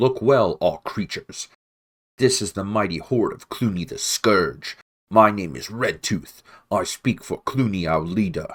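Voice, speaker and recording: A put-on character voice growls. The recording is very clean, with a silent background. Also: man, fairly low pitch for a man, moderate pace. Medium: read story.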